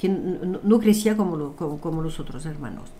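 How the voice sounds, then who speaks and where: A woman with a French accent speaks at fairly low pitch with ordinary pitch variation, and the room echo is audible. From France. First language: French (speaking Spanish). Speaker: numerologist and author. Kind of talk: interview.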